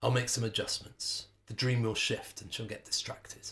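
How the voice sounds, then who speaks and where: Putting on a gruff, gravelly, rumbling character voice, a man speaks at a moderate pace and medium pitch with monotone, flat intonation. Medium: read story. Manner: grumbling, gruff.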